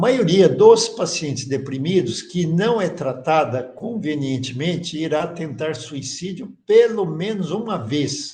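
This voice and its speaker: Speaking at a very slow pace with hardly any pauses, a man uses a high pitch and lively intonation. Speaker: course teacher. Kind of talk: lecture.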